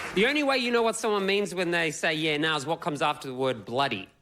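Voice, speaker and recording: A man's fairly quick, fairly high-pitched speech in an Australian accent, with very wide pitch swings and noticeable background noise. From Australia, Melbourne. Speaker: comedian. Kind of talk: stand-up. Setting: stage with audience.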